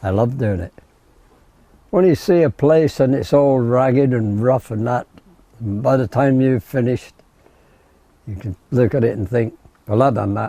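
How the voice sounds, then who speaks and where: Dark and mellow, a man's medium-pitched voice moves at a moderate pace with ordinary pitch variation. Long, frequent pauses recur, and the sound is dry and close with no echo. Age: 80s+. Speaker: plasterer. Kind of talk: interview clip.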